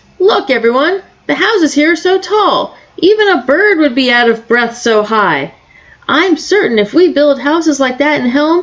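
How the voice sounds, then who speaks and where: A woman puts on a character voice at a moderate pace. Her pitch sits high for a woman. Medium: read story.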